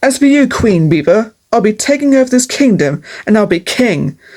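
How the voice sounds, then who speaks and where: A put-on character voice growls along at a moderate pace. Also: woman, fairly high pitch for a woman. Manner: snarling, menacing.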